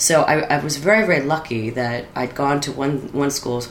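With an American accent and fairly even intonation, a woman speaks amid noticeable background noise and audible room echo. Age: 40s. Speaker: storyteller. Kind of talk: casual chat.

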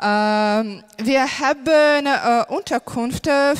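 A woman talks with lively intonation while music plays behind her. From Ukraine. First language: Ukrainian or Russian (speaking German). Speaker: primary school teacher. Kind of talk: testimony. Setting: church stage. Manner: halting, many fillers.

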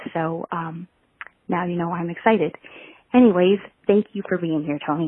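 A woman's fairly low voice at a moderate pace. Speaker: podcast host. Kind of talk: interview. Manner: animated.

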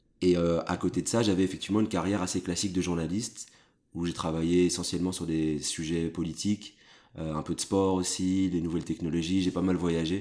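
The man's voice is very deep and low, with a dark, mellow tone. He talks at a fairly quick pace in a monotone, flat intonation. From Brussels, Belgium. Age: 30s. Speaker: journalist and editor-in-chief. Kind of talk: interview conversation.

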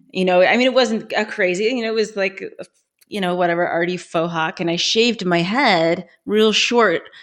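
A woman in an ordinary speaking voice with an American accent, medium pitch, ordinary pitch variation and a moderate pace. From Colorado. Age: 40s. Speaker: former adult industry worker. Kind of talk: casual interview.

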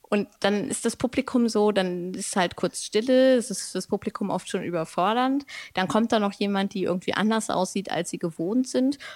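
On a very clean recording with a silent background, a woman in an ordinary speaking voice talks at a moderate pace, her medium pitch showing ordinary pitch variation. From Germany, Lower Saxony (Braunschweig). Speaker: poet and creative artist. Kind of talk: casual interview. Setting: podcast recording. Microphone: good microphone, sounds great.

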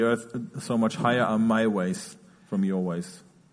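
At a medium pitch and a moderate pace, a man talks in an ordinary speaking voice. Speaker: interpreter. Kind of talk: sermon. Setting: church.

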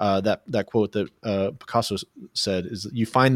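A man speaks in a plain, everyday voice at a moderate pace with fairly even intonation. The recording is very clean with a silent background, and the sound is dry and close with no echo. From Oklahoma, US. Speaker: podcast host. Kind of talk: casual interview chat.

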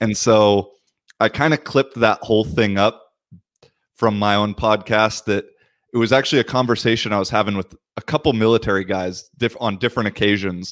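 A man with an American accent in an unremarkable speaking voice, fairly low in pitch and fairly quick in pace, the sound dry and close with no echo in a very clean recording with a silent background. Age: 30s. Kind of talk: casual chat.

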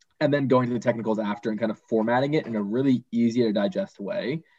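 Delivered at a fairly quick pace with an American accent, this is an unremarkable speaking voice. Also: man. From Boston. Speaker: finance student. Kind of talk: interview.

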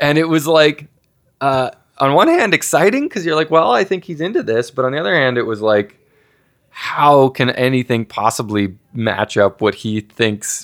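With a normal speaking voice, this man talks at a moderate pace, his fairly high pitch moving with lively intonation. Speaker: rock band frontman and songwriter. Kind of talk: casual interview. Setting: recorded at a gaming festival.

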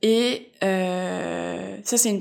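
Over a silent background in a very clean recording, a woman speaks at medium pitch with a slight North American accent. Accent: slight North American inflections in French. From France, Alsace. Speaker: illustrator. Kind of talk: interview narrative. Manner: hesitant, many fillers.

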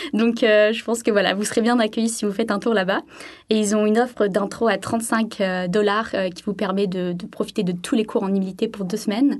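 A woman with an unremarkable speaking voice, fairly high in pitch, at a fairly quick pace with fairly even intonation. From southern France, Sainte-Maxime. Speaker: French language teaching assistant. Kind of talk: radio interview.

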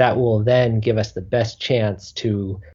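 This man has a dark, mellow tone and a fairly low pitch, somewhat breathy. His intonation stays fairly even against a quiet background. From Southeast Alaska. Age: 30s. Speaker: healthcare entrepreneur. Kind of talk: interview.

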